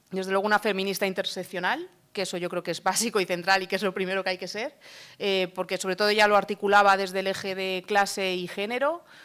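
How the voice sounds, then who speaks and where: Speaking at a very fast pace, a woman keeps a monotone, flat intonation on a very clean recording with a silent background. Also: medium pitch for a woman. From Madrid, Spain. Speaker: book author. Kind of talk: book presentation talk. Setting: stage with audience.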